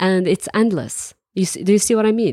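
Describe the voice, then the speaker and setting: A woman with a Moroccan accent speaks at a fairly quick pace in a dark, mellow tone with ordinary pitch variation. The sound is dry and close with no echo, on a very clean recording over a silent background. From Morocco. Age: 20s. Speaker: entrepreneur and traveler. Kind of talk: interview conversation.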